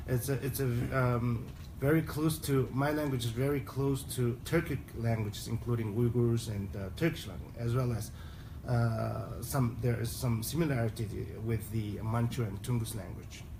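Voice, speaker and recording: Audible room echo surrounds a man talking at a moderate pace and medium pitch. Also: ordinary pitch variation. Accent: Mongolian. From Southern Mongolia (Inner Mongolia, China). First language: Mongolian. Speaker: human rights advocate. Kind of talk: conference speech. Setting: UN forum side event in Geneva. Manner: halting, frequent fillers and restarts.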